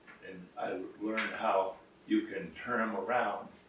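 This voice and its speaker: Noticeable background noise is present throughout. A man talks over it at a fairly slow pace. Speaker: grandfather giving advice to grandchildren. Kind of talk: casual talk to camera, personal advice. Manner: slow, deliberate, reflective.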